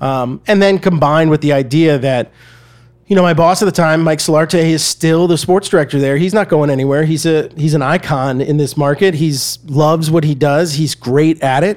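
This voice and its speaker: An American man talks at a fairly quick pace and fairly high pitch, with an American accent and fairly even intonation. It is an ordinary speaking voice. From US South, Atlanta, Georgia. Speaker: media company CEO, former TV journalist. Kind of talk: interview conversation.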